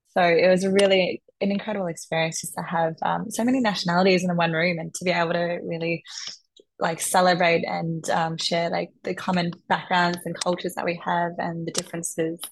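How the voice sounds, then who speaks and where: In an Australian accent, a woman with a fairly low pitch talks at a fairly quick pace in a flat, monotone way. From Melbourne, Australia. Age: 20s. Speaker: architect and pageant contestant. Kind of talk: interview.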